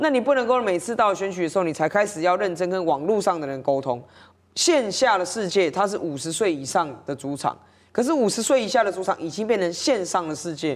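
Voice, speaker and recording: A woman speaks at a fairly quick pace with very wide pitch swings. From Taiwan. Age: 30s. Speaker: city councillor. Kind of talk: political talk show discussion. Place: studio. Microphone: lapel.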